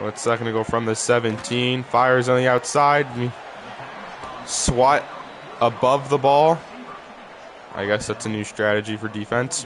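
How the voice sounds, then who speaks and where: A man at a medium pitch and a moderate pace, with long, frequent pauses and noticeable background noise. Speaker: gaming YouTuber. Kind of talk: gameplay commentary. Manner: animated.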